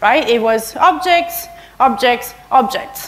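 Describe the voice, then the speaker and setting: Very slow speech from a woman with lively intonation. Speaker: conference speaker. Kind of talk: lecture. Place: hall.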